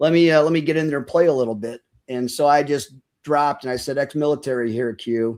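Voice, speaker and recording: A man talks in an ordinary speaking voice at a fairly high pitch and a fairly quick pace. His pitch varies in an ordinary way, in a very clean recording with a silent background. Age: 60s. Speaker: military veteran, podcaster. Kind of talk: casual interview chat.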